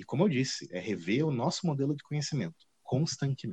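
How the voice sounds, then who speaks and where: Recorded with a dry, close sound and no echo, a man speaks at a moderate pace in a somewhat breathy voice of medium pitch. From Paraná, Brazil. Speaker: art history professor. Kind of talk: casual interview. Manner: halting, many fillers.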